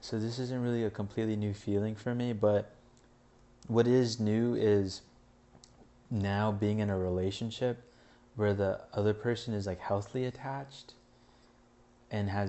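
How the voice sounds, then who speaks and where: A man's fairly low voice with an American accent, flat and monotone, at a moderate pace broken by long, frequent pauses. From California (San Pedro). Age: 20s. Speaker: vlogger. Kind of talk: stream-of-consciousness monologue. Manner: halting, many fillers.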